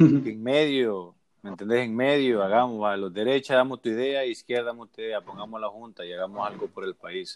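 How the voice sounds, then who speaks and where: A man's medium-pitched voice, an ordinary speaking voice. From Honduras, north coast (Puerto Cortés area). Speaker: podcast host. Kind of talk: casual chat.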